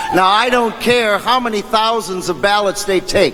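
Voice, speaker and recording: A man speaks at a moderate pace with fairly even intonation. Noticeable background noise runs underneath. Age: 60s. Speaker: union stagehand, party activist. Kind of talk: convention speech.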